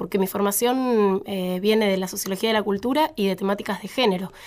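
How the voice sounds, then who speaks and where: Very fast speech in a Rioplatense accent. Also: woman. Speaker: sociologist. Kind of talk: casual chat.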